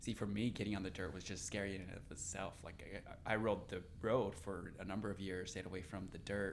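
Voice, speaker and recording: There is audible room echo as a man speaks in a fairly low, flat monotone. He moves at a fairly quick pace with hardly any pauses. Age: 40s. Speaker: podcast host and cyclist. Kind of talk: podcast interview.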